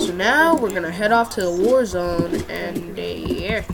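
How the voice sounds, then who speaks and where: A woman speaks over noticeable background noise, with audible echo in the room. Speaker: gaming youtuber. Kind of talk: gameplay tutorial.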